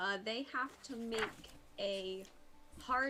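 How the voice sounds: Pitch moves in an ordinary way through a natural reading voice.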